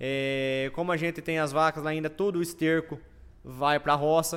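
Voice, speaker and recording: A man talks at a moderate tempo in a monotone, flat delivery, his pitch sitting fairly high. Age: 30s. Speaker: farmer and agro influencer. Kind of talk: casual interview. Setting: studio, livestream.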